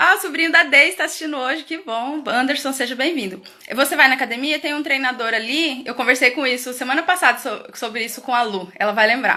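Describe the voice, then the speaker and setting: A woman speaks in a raised, projected voice at a high pitch. Her pace is moderate and her pitch variation ordinary. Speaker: educator hosting a parenting live stream. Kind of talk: live stream talk. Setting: live video stream from home. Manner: loud.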